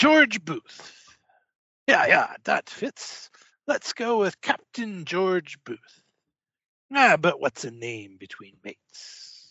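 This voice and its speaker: A man's high, put-on character voice at a very slow pace with long, frequent pauses. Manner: jovial, boisterous, evasive.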